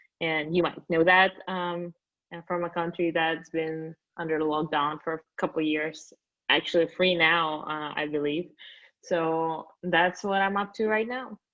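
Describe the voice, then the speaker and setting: A woman speaks in a Russian accent at a fairly low pitch. Her pace is fairly slow and her intonation fairly even. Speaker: company founder. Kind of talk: interview podcast.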